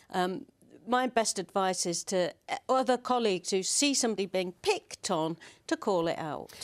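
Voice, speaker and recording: A plain, everyday voice from a woman at medium pitch, lively in intonation, in a very clean recording over a silent background. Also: dry, close sound with no echo. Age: 50s. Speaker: politician. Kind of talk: TV political panel discussion.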